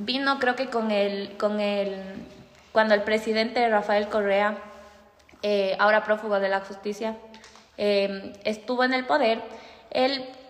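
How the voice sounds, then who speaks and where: Noticeable background noise sits behind a woman speaking at a fairly slow pace. Her voice is fairly high, with ordinary pitch variation. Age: 20s. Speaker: law and psychology student. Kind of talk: casual interview.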